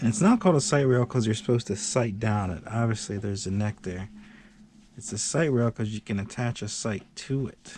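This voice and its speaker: A man mumbles at a fairly quick pace in a somewhat breathy voice of medium pitch, with ordinary pitch variation. The recording is very clean with a silent background. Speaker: hobbyist video maker. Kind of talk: casual chat. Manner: mumbling.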